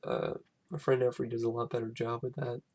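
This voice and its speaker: With a dark, mellow tone, a man talks in a somewhat breathy voice. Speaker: film reviewer. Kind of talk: casual vlog review. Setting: at home. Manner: halting, many fillers; whispering, quiet.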